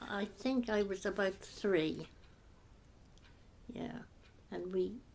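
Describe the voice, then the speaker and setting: A woman speaks with a Herefordshire accent. Her pace is very slow. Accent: rural Herefordshire English. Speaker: former sawmill office worker. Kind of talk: oral history interview answer. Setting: home sitting room.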